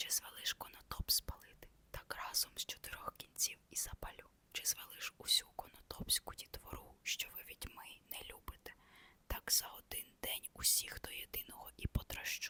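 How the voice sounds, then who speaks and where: Whispering at a moderate pace, a woman's voice shows big swings in loudness in a dry, close sound with no echo. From Ukraine. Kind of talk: ASMR reading of a classic novella. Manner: whispered.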